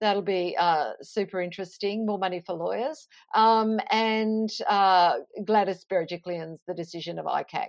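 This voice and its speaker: A woman with an Australian accent talks with fairly even intonation. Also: medium pitch for a woman, moderate pace. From Queensland, Australia (Toowoomba). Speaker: journalist and author. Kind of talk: interview.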